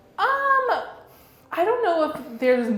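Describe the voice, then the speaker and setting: Noticeable background noise and audible room echo surround the speaker. She is a woman with an American accent. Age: 20s. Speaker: political influencer. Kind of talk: interview.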